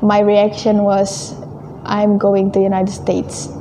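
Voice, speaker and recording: This woman speaks with an Indonesian accent at a fairly slow pace, her pitch medium. Noticeable background noise runs behind her. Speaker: returned exchange student. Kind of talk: interview.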